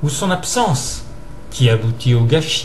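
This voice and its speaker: Fairly slow speech from a man, over noticeable background noise. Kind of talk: reading a philosophical essay aloud.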